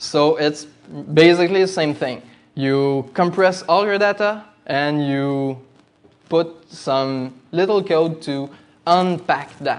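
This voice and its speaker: Very slow, fairly high-pitched man's voice in a Quebec accent, ordinary pitch variation, long, frequent pauses, audible room echo. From Quebec, Canada. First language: French. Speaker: demoscene coder and designer giving a talk. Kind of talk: conference presentation. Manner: halting, many fillers.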